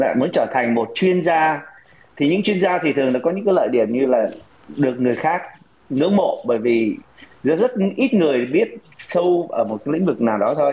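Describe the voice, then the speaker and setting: A man's fairly high voice with very wide pitch swings, very even loudness and a moderate pace. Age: 50s. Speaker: senior executive and investment teacher. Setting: online call.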